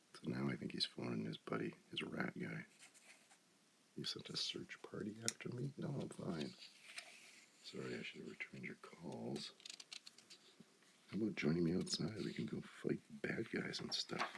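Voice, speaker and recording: Soft-spoken and at a moderate pace, the delivery includes long, frequent pauses. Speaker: ASMR creator. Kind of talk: ASMR comic book reading.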